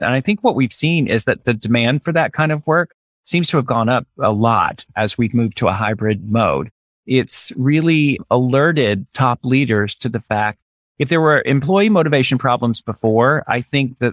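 A man with a plain, everyday voice, medium pitch, ordinary pitch variation and very even loudness, at a moderate pace with an American accent. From US South, Birmingham, Alabama. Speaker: brand strategist and author. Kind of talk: interview.

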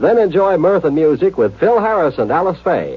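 A man with a fairly high pitch and a husky, rough edge. His pitch swings widely at a moderate pace.

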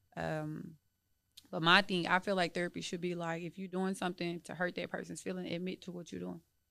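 At a fairly quick pace, this woman is heard in a very clean recording against a silent background. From Texas, Dallas. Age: 30s. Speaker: entrepreneur and landlord. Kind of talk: casual interview.

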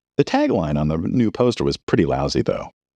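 A man with a dark, mellow tone and vocal fry, recorded dry and close with no echo against a quiet background. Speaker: podcast host and writer. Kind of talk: scripted narration of film history, documentary-style, with a short chatty intro. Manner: even, measured, storyteller delivery; warm and personable when thanking listeners.

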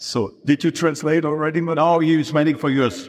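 A man with a German accent speaks in a fairly high pitch with vocal fry. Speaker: event organizer. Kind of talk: stage moderation. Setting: stage with audience. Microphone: poor audience recording.

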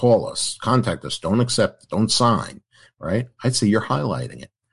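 A man with an American accent talks at a moderate pace with vocal fry. The background is quiet. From New York. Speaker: attorney. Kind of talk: podcast interview, legal advice.

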